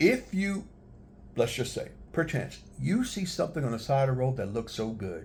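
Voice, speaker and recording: Pausing long and often, a man speaks at a moderate pace in a somewhat breathy, medium-pitched voice that swings very widely in pitch. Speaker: travel vlogger. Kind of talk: casual tutorial vlog. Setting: handheld camera, one take.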